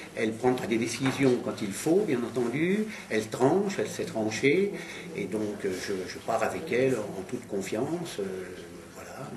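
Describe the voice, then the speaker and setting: A man's medium-pitched voice with lively intonation at a fairly slow pace, audible room echo and noticeable background noise. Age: 60s. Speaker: local election candidate. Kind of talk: candidate statement. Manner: hesitant, many fillers.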